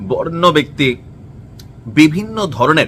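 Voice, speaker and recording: Lively rising and falling tones from a man, with noticeable noise behind. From Bangladesh, Comilla. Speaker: social media commentator. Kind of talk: opinion vlog. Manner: animated.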